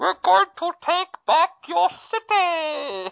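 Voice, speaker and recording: A put-on character voice, high in pitch, with very wide pitch swings at a very slow pace. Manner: menacing, declaratory.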